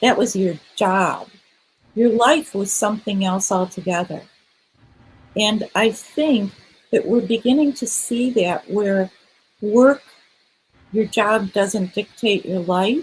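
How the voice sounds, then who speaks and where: Very slow and somewhat breathy, a woman speaks in a fairly high pitch with ordinary pitch variation. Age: 60s. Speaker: panelist at a church conference session. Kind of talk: panel discussion. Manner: hesitant, many fillers.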